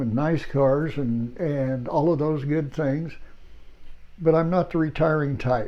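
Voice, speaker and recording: A man speaks at a very slow pace with a fairly high pitch and fairly even intonation. Room echo is audible. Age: 80s+. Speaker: retired entrepreneur vlogger. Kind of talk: casual talk to camera. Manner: halting.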